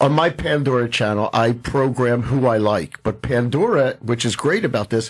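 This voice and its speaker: A man with an ordinary speaking voice talks at a medium pitch and moderate pace, showing ordinary pitch variation, hardly any pauses and very even loudness. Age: 60s. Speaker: radio host. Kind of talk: radio interview.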